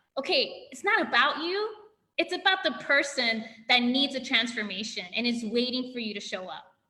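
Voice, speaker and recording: Raised, projected voice of a woman, high-pitched, with very wide pitch swings, big swings in loudness and a moderate pace. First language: not English. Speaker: physical therapist, functional medicine practitioner. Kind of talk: interview. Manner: animated.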